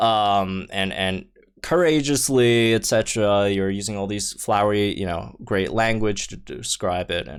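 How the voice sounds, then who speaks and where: A man with a non-native accent, fairly low in pitch, at a fairly slow pace with ordinary pitch variation, on a very clean recording with a silent background. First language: not English. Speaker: gaming YouTuber. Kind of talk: casual video commentary. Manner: halting, many fillers and restarts; enthusiastic.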